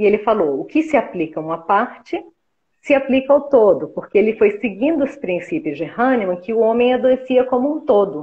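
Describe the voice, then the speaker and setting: At a moderate pace, a woman with a fairly high pitch speaks with very wide pitch swings. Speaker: homeopathic therapist and teacher. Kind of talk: live interview, explanatory chat. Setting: live stream video call.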